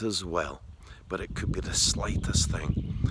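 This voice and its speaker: This is a man speaking. He has a Scottish accent. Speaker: dog trainer. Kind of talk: tutorial. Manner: soft-spoken; halting.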